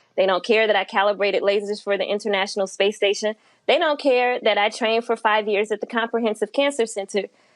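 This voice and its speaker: A woman with an American accent speaks at a fairly quick pace and a fairly high pitch. Her intonation stays fairly even over a quiet background. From US Midwest, St. Louis. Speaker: physicist, cancer researcher. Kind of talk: interview.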